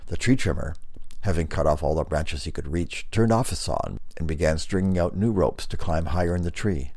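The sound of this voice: This is an unforced reading voice. It sounds like text read aloud without strain.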